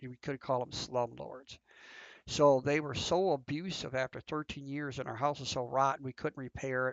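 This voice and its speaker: Here a man speaks at a medium pitch. His intonation is flat and monotone. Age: 60s. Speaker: gaming youtuber. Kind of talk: personal monologue while gaming. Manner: halting, many fillers and restarts.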